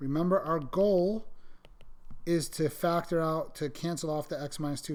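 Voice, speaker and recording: The man's pitch is fairly high and his intonation fairly even. Audible room echo surrounds the voice. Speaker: math teacher. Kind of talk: lecture. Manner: fast.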